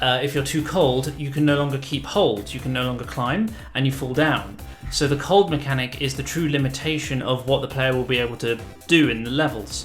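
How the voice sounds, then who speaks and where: The man's intonation stays fairly even. Behind him, music is playing. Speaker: indie game developer. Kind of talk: casual devlog narration over gameplay.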